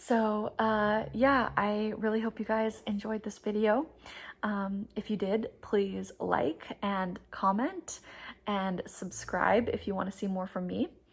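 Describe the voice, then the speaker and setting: A woman speaks very slowly in a fairly high, somewhat breathy voice with fairly even intonation. The recording is very clean, with a silent background. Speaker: booktuber. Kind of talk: casual chat. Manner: chatty.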